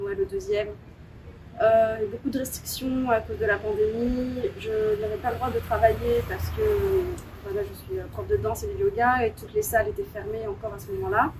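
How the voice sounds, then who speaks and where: A woman speaks at a fairly quick pace, with big swings in loudness. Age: 30s. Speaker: dance and yoga teacher. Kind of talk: interview. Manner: hesitant.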